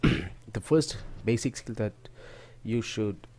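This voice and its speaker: A man's dark, mellow tone carries through speech at a moderate pace. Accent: non-native. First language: not English. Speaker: forex trading teacher. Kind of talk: tutorial talk to camera.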